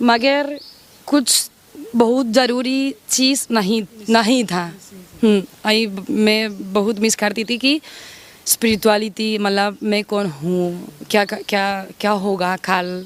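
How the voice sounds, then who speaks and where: Noticeable background noise sits behind a woman's voice. Her pitch is fairly high, with ordinary pitch variation. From Spain, Madrid. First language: Spanish (speaking Hindi). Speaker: sadhvi, former doctor. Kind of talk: interview. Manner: halting, with fillers.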